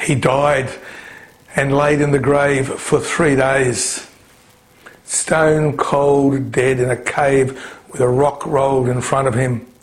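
A man with an Australian accent speaks very slowly at a fairly high pitch, with monotone, flat intonation, very even loudness and long, frequent pauses, amid audible room echo and noticeable background noise. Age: 60s. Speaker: pastor. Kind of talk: sermon.

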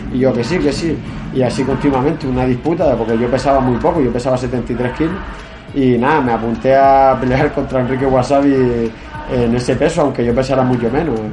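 A man at a fairly quick pace with fairly even intonation and very even loudness, with audible room echo and music in the background. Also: medium pitch for a man. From Galicia, Spain. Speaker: MMA fighter. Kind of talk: interview.

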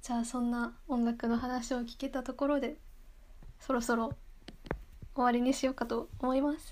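A woman's high-pitched, flat monotone at a moderate pace, with long, frequent pauses. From Japan, Yamagata. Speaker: podcast host. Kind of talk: casual chat.

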